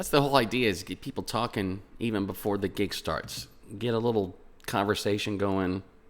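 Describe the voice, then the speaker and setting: Soft-spoken and fairly low in pitch, a man talks at a fairly quick pace with ordinary pitch variation. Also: very clean recording, silent background. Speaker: graphic designer and gigging musician. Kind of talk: tutorial.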